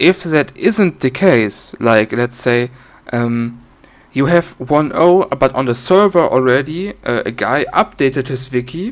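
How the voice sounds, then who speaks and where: With a non-native accent and lively intonation, a man speaks at a very slow pace. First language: not English. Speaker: software developer demonstrating own program. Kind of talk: tutorial. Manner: halting, many fillers.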